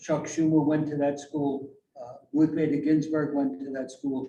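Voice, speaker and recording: A man speaks in a New York accent with a fairly high pitch. His tone is dark and mellow, and somewhat breathy. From New York City. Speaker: author and educator. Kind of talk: presentation to community meeting.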